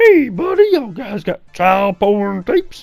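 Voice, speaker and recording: Faint music plays behind a put-on character voice pitched fairly high and delivered at a moderate pace. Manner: weird, put-on.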